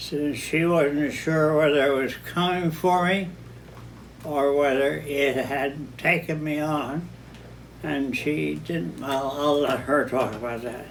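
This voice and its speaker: In a room with audible echo, a man with a fairly high voice speaks very slowly with fairly even intonation. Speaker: vineyard founder. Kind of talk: oral history interview. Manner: halting.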